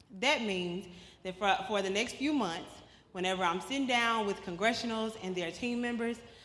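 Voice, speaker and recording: A woman speaks at a moderate pace in a fairly high, animated voice with ordinary pitch variation. Noticeable background noise and audible room echo are present. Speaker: policy advocate. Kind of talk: presentation. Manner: conversational, animated.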